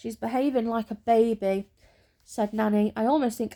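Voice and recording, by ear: Someone is reading aloud in a natural voice. The text is read aloud.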